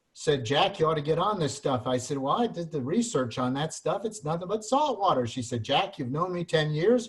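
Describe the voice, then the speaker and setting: At a moderate pace, a man speaks in a somewhat breathy voice with lively intonation. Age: 70s. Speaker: retired product distributor. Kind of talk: testimony.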